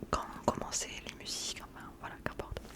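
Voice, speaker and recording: Whispering at a moderate pace with a southwestern French accent, a woman is heard over noticeable background noise. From southwest France. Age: 20s. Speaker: ASMR creator. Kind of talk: casual talk to camera, book review.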